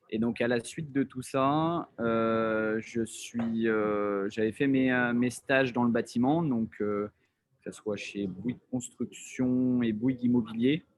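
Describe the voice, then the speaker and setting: A man's voice, medium in pitch with fairly even intonation, unfolds at a very slow pace. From France, Lyon / Haute-Savoie. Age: 30s. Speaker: entrepreneur, real estate developer. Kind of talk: casual talk about career. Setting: video call. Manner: halting, many fillers.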